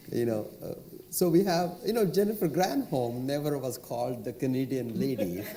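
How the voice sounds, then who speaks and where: Over noticeable background noise and audible room echo, a man with a fairly high pitch talks at a moderate pace, his voice making very wide pitch swings. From India. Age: 60s. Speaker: entrepreneur. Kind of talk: panel discussion.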